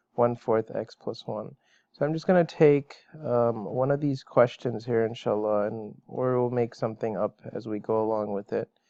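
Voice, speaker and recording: Moderate pace with fairly even intonation. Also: man. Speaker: math teacher. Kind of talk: online lecture. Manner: hesitant with fillers.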